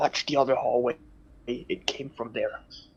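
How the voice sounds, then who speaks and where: A man quietly whispering in a put-on character voice at a moderate pace, dry and close with no echo. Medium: actual play. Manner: hushed whisper.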